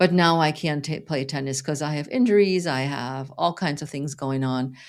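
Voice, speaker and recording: Against a silent background, a woman's voice comes through in a very clean recording. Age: 60s. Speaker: fitness coach. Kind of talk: interview conversation.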